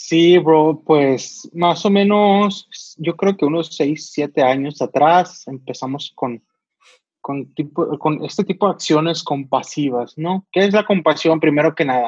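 Very slowly, a man speaks at a fairly high pitch with ordinary pitch variation, in a dry, close sound with no echo. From Sonora, northern Mexico. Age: 20s. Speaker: volunteer helping homeless people. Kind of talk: casual chat.

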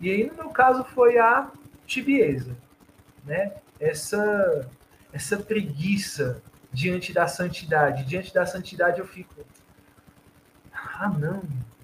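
A man with a high pitch speaks very slowly, leaving long, frequent pauses. His pitch swings very widely and his loudness rises and falls sharply. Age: 30s. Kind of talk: casual chat.

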